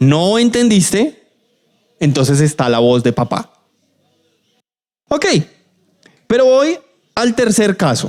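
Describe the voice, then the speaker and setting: A man is speaking. His pitch swings very widely. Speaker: preacher. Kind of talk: sermon.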